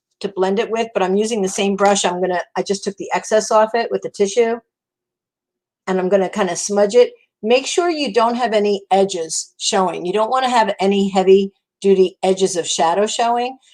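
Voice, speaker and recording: A woman with a New Jersey accent, medium pitch with ordinary variation, talking at a fairly quick pace. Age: 60s. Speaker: makeup consultant. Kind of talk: makeup tutorial livestream. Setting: live stream. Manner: casual, chatty.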